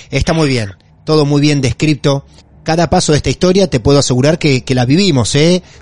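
This man's voice sits fairly high in pitch. It sounds somewhat breathy. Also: dry, close sound with no echo. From Argentina, Mar del Plata. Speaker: podcast host. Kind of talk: interview.

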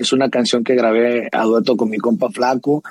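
Dry, close sound with no echo, a male speaker at a moderate pace. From Mexico, Sinaloa (near Culiacán). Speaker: regional Mexican singer. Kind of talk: casual chat. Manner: halting, frequent repetitions.

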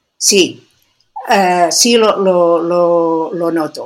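A woman talks at a medium pitch. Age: 60s. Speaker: biologist and sports nutrition expert. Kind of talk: interview.

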